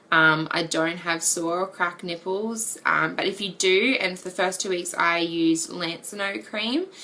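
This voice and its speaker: A fairly low-pitched woman at a fairly slow pace with hardly any pauses, over noticeable background noise. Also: ordinary pitch variation. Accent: Australian. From Australia. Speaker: vlogger. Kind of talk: casual chat. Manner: hesitant, many ums.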